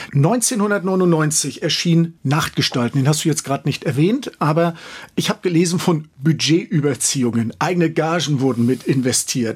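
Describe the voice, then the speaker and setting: A man uses a normal speaking voice at a moderate pace. His pitch is fairly high, his intonation lively and his loudness very even. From Schwerin, Mecklenburg. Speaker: radio host. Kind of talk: radio interview.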